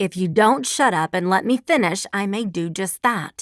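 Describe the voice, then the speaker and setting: In a put-on character voice, a woman growls at a moderate pace. Her intonation is lively and her pitch is medium. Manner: stern, scolding.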